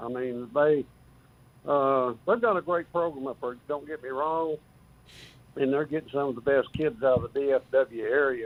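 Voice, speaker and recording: Speaking with a West Texas accent, this man has a fairly high pitch, ordinary pitch variation and a moderate pace. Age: 70s. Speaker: caller, football fan. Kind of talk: radio call-in.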